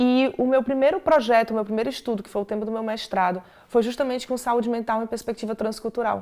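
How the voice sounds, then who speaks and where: Her voice fairly high in pitch with a dark, mellow tone, a woman speaks at a very fast pace with ordinary pitch variation. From Brazil. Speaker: clinical and sports psychologist. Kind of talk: interview conversation. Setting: studio.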